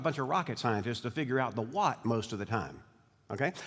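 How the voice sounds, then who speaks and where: Talking at a very fast pace with lively intonation, a man speaks in a Southern US accent. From US South. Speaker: bishop. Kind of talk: speech. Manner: halting.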